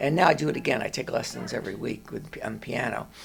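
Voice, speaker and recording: Music plays in the background as a man with an American accent speaks at a fairly quick pace. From New Jersey. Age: 70s. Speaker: dermatologist. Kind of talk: interview. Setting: doctor's office waiting room. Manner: halting.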